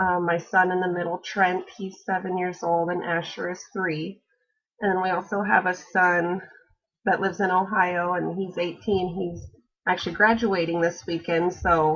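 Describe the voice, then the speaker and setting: A woman with an Alaskan accent speaks at a moderate pace and medium pitch, her intonation monotone and flat. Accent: American, Alaskan. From Alaska, Kenai Peninsula. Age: 30s. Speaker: college student. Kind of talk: class introduction video. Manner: hesitant, frequent fillers.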